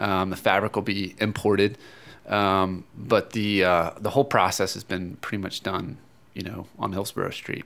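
A man with an ordinary speaking voice speaks at a moderate pace, pitched fairly low, with fairly even intonation. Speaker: running store expert. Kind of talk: casual interview. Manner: relaxed, conversational.

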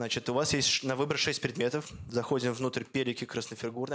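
In a very clean recording with a silent background, a man speaks at medium pitch and a very fast pace. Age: 20s. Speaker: chief editor of an online education project, lecturer. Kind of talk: lecture. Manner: animated.

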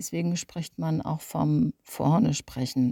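The voice is somewhat breathy, with a dark, mellow tone, and moves at a very slow pace. The sound is dry and close with no echo. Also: woman. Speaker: speech coach, former radio presenter. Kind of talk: tutorial.

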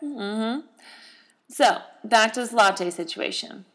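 At a fairly slow pace, a woman of medium pitch speaks in an animated tone. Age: 20s. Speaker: podcast host. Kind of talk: solo casual podcast monologue.

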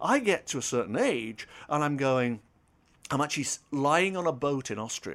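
A man with a British accent talks at a moderate pace in a fairly high pitch, with lively intonation. The recording is very clean, the background silent. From Britain. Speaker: former radio broadcaster and author. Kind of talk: casual interview chat.

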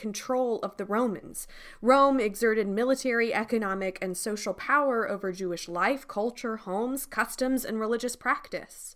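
Here a woman has an ordinary speaking voice, fairly high in pitch with ordinary pitch variation. She keeps a moderate pace with hardly any pauses. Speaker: podcast announcer and devotional speaker. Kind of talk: announcement and devotional talk.

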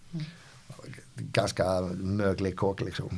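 A man's dark, mellow, somewhat breathy voice. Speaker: company founder. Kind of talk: interview. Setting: company office. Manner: halting, many repetitions.

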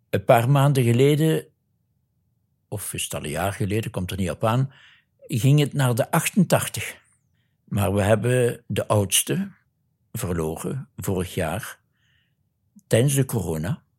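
A man's somewhat breathy, medium-pitched voice with a Limburg accent, very wide pitch swings, a very slow pace, and long, frequent pauses, in a very clean recording with a silent background. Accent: Limburg Flemish. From Belgian Limburg (Neerpelt). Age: 70s. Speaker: retired Jesuit priest and missionary. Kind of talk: interview testimony.

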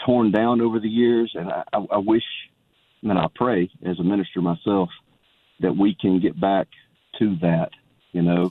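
Long, frequent pauses break up the speech of a man with a Southern US accent, who talks at a fairly slow pace and a fairly low pitch with ordinary pitch variation. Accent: Southern American. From Georgia, US. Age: 40s. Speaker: caller. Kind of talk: casual chat.

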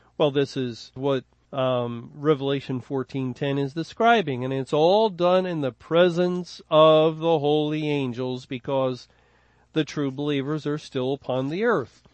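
A man with an American accent has a plain, everyday voice, a fairly high pitch and ordinary pitch variation, and speaks at a fairly slow pace. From Philadelphia, US. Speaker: Bible teacher. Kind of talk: Bible study lecture.

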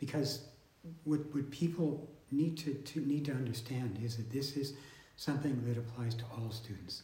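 In a room with audible echo, a man speaks at a moderate pace and fairly high pitch, his dark, mellow tone somewhat breathy and his intonation fairly even. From southern Manitoba, Canada. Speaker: podcast host. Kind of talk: casual interview. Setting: on campus.

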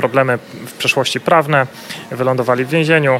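There is noticeable background noise behind this man. His fairly high voice has ordinary pitch variation. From Silesia, Poland. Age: 30s. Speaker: real estate investor and debt-relief business owner. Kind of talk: interview.

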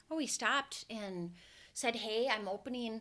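A woman's bright, sharp tone in a Minnesota accent, on a very clean recording with a silent background. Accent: Minnesota accent, noticeable. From Minnesota (Brainerd). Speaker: hair stylist and salon recruiter/trainer. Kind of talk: interview conversation.

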